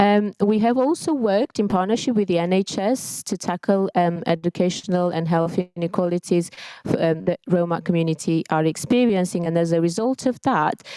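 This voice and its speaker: A woman talks at a fairly quick pace in a dark, mellow tone with fairly low pitch. Her pitch varies in an ordinary way, and the sound is dry and close with no echo. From Romania. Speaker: community coordinator and teacher. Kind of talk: conference presentation. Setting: conference stage. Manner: hesitant, many fillers.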